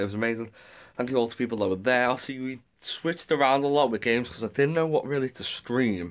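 Talking at a very fast pace, a man with an English accent and medium pitch is heard in a very clean recording with a silent background. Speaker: gaming streamer. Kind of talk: vlog.

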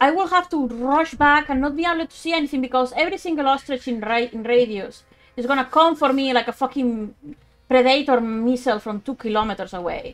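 Music plays in the background as a woman speaks in a strong Spanish accent. Her pitch is high and her intonation lively. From Spain. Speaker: let's play streamer. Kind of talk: live gameplay commentary. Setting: low-quality home mic.

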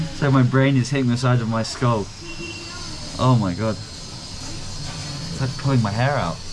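Noticeable background noise sits behind a man speaking at a fairly slow pace with ordinary pitch variation. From England. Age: 20s. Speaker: travel vlogger. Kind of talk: travel vlog narration and casual chat with locals. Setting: outdoors on city streets. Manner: animated. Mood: amused, relaxed, wincing. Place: shop. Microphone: phone near.

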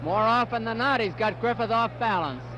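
At a moderate pace, a man speaks in a high pitch, the sound dry with no echo but with noticeable background noise. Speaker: boxing commentator. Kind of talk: live ring commentary, fight broadcast. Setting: arena broadcast, archive TV. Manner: brisk, clipped play-by-play; informative, matter-of-fact. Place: stadium.

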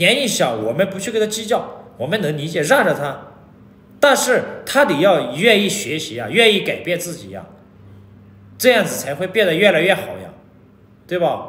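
In a room with audible echo, a man speaks at a high pitch and moderate pace. His loudness swings widely, and long, frequent pauses break up his speech. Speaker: vlogger. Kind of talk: casual vlog chat. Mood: annoyed, lecturing. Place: home room. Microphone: phone near.

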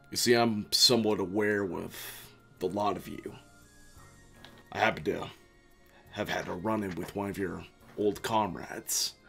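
A man performs a put-on character voice at a fairly low pitch and moderate pace. Long, frequent pauses break it up while faint music plays in the background. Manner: calm, cryptic, quietly menacing.

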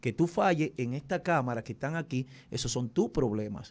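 Here a man talks at a fairly quick pace. His pitch is fairly high and his intonation lively. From Dominican Republic. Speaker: radio and TV host specializing in typical music; radio, TV host specializing in typical music. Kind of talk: casual interview. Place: studio. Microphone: studio mic.

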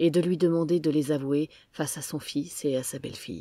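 At a moderate pace, a woman with a very deep, low pitch and a dark, mellow tone speaks with fairly even intonation on a very clean recording with a silent background. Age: 40s. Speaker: podcaster. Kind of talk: personal testimony, scripted narration.

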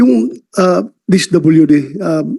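Dark, mellow tone from a man. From Mindanao, Philippines. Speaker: senator at a hearing. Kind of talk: senate hearing questioning.

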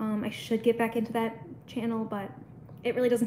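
Over light background noise, a woman talks at a very fast pace in a fairly high, somewhat breathy voice. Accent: American. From US Midwest. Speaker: pet YouTuber. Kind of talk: casual livestream chat. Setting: home livestream. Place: home room. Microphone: phone near.

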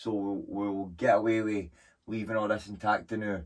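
In a normal speaking voice, a man with a fairly low pitch talks at a moderate pace against a quiet background. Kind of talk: casual vlog chat. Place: workshop. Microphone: camera far.

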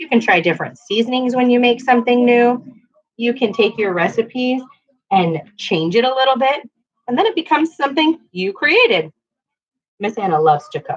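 A high-pitched woman's voice at a fairly quick pace against a quiet background. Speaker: cooking teacher for children. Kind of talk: tutorial. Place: kitchen. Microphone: webcam.

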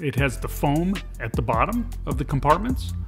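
The pace is moderate. Music plays clearly behind the voice. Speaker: truck owner reviewing a product. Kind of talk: tutorial. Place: car.

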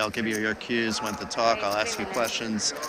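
In a New Jersey accent, a man speaks at a fairly quick pace and medium pitch against noticeable background noise. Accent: American, New Jersey. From New Jersey, US. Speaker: poker commentator. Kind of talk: live commentary. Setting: live stream at poker tournament.

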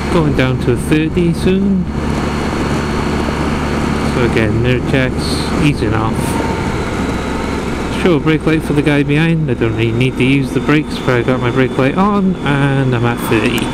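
Loud background noise, a moderate pace, long, frequent pauses and a dry sound with no echo. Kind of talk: riding commentary. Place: motorbike. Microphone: helmet.

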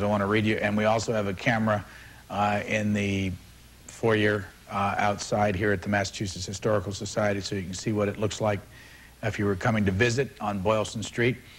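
A man talks with an unremarkable speaking voice at a fairly low pitch. His pace is fairly quick and his intonation fairly even. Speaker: TV interview host. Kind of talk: live call-in broadcast. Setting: on location, live broadcast. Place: hall. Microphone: lapel.

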